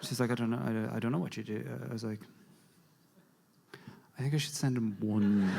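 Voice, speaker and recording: A man speaks with an Irish accent. His pitch varies in an ordinary way. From Ireland. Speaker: standup comedian. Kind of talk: live standup comedy storytelling. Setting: live audience.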